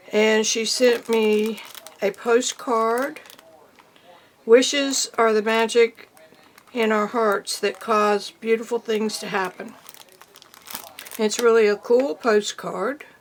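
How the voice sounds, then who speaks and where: A woman's fairly high voice at a very slow pace, with fairly even intonation, long, frequent pauses and noticeable background noise. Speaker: art teacher and YouTuber. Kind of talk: casual vlog, showing mail.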